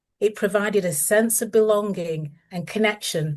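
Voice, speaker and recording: In a Lancashire accent, a woman speaks at a fairly slow pace and medium pitch, with ordinary pitch variation against a quiet background. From northern England, Lancashire. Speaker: author. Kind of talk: reading aloud. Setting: video call. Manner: formal.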